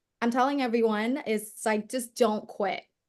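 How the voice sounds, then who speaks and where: Against a quiet background, a woman speaks in a Vietnamese accent. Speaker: performance coach and entrepreneur. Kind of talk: interview.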